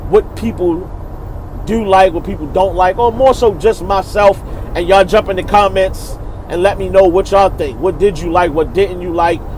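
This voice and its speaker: With noticeable background noise, a man in a Baltimore accent speaks at a high pitch with fairly even intonation. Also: moderate pace. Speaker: battle rap reviewer, channel host. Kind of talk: casual video commentary. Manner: casual, informal slang.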